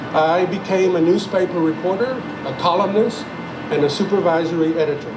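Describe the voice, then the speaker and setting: Music plays in the background as a man speaks at a moderate pace with a high pitch and fairly even intonation. His loudness stays very even, and audible room echo surrounds the voice. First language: Spanish. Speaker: retired journalist and playwright. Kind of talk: ceremony speech.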